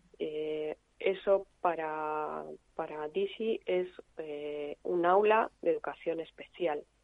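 A woman speaks at a very slow pace. Her fairly low voice keeps a fairly even intonation. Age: 50s. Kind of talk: interview.

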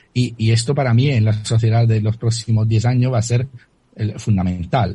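Speaking with an Italian accent, a man has a dark, mellow, somewhat breathy tone at medium pitch, with fairly even intonation. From Italy. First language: Italian (speaking Spanish). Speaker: crypto author and analyst. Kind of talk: radio interview. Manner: halting, with many repetitions.

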